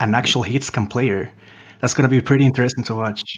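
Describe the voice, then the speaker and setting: A man with a Spanish accent, medium in pitch, talking at a very fast pace with ordinary pitch variation. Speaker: esports commentator. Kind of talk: live commentary.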